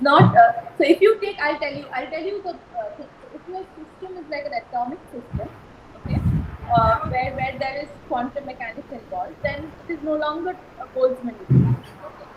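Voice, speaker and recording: A soft-spoken woman with a high voice talks at a fairly quick pace, her loudness swinging widely and her intonation lively, over noticeable background noise. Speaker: university lecturer. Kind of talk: lecture. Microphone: too quiet.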